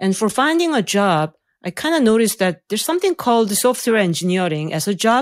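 A woman's fairly high voice in a Korean accent, fairly quick with very wide pitch swings, on a very clean recording with a silent background. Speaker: AI researcher and professor. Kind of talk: interview, explanatory conversation. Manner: hesitant, uses fillers.

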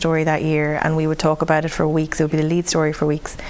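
A woman with an Irish accent, very fast, her pitch very deep and low. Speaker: news reporter. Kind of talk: interview.

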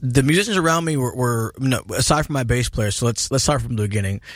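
A man talks in a plain, everyday voice at medium pitch. His pace is moderate and his pitch variation ordinary. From US Pacific Northwest, Seattle. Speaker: blues rock musician. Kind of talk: interview. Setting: studio.

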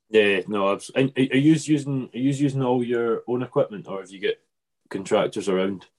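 A man speaks with a Scottish island accent. His pitch is medium, with ordinary variation. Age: 20s. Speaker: podcast host. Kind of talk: casual interview chat. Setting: video call.

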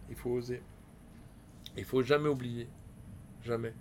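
A man at medium pitch speaks at a fairly slow pace, somewhat breathy, with fairly even intonation. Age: 50s. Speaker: business owner. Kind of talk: casual chat.

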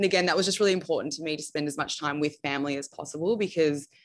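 A woman with an Australian accent speaks in a very deep, low voice with fairly even intonation. The recording is very clean, with a silent background. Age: 20s. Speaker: bridal gown designer. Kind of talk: interview. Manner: casual.

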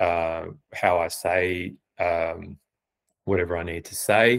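Very deep and low, a man's voice in an Australian accent holds a monotone, flat intonation on a very clean recording with a silent background. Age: 40s. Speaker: freelance copywriter. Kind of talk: casual interview chat. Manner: hesitant, many fillers.

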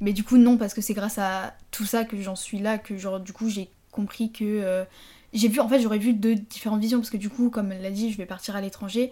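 At a fairly quick pace, a woman with a fairly high pitch and a dark, mellow, somewhat breathy tone speaks in monotone, flat intonation, captured in a very clean recording with a silent background. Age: 20s. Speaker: former business-school prep student. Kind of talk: casual chat.

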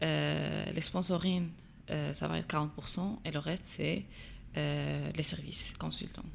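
A woman speaks at a very slow pace. Long, frequent pauses break up her speech. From Morocco, Agadir. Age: 20s. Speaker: social entrepreneur. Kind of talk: interview. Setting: studio. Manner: halting, many hesitations.

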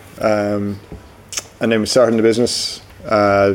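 Over noticeable background noise, a man with a Cork accent talks in a monotone, flat intonation at a fairly low pitch. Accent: Cork Irish. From Cork, Ireland. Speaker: brewery co-founder. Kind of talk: casual interview.

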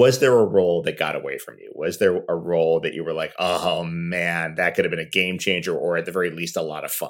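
A man with an American accent talks at a fairly quick pace with hardly any pauses. His loudness swings widely. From New York. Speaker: podcast host and actor. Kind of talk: interview.

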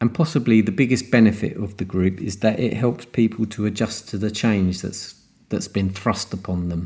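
Here a man with a British accent and a dark, mellow tone speaks at a moderate pace in a fairly low pitch with ordinary pitch variation. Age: 50s. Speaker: podcast host and cardiac arrest survivor. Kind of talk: solo monologue podcast. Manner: hesitant, with fillers.

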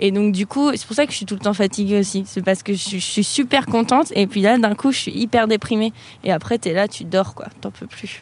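This woman's medium-pitched voice is somewhat breathy, with ordinary pitch variation and big swings in loudness. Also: moderate pace. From France, Avignon. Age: 20s. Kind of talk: casual chat.

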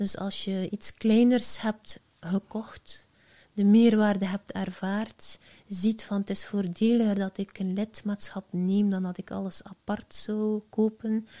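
Speaking at a very slow pace with a Flemish accent, a woman has a medium pitch, a dark, mellow, somewhat breathy tone and flat, monotone intonation, recorded with a dry, close sound and no echo. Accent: Flemish Dutch. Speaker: entrepreneur, founder of a social media agency. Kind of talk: casual interview.

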